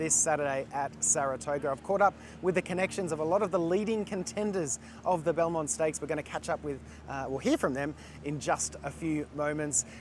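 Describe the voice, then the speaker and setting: A man with an ordinary speaking voice talks at a fairly quick pace, fairly high in pitch, with ordinary pitch variation. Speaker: racing show host. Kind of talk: show intro to camera.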